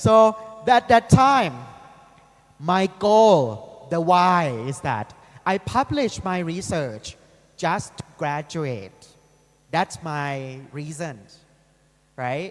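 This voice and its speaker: A man's high-pitched voice in a northeastern Thai accent, with very wide pitch swings, big swings in loudness, a very slow pace, and long, frequent pauses. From Thailand, Ubon Ratchathani (Isan region). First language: Isan. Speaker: university lecturer. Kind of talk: lecture.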